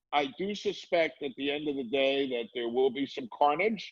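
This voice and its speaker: A man speaks with an American accent in an unremarkable speaking voice. His pace is moderate and his intonation lively. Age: 60s. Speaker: comedy club owner. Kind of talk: interview.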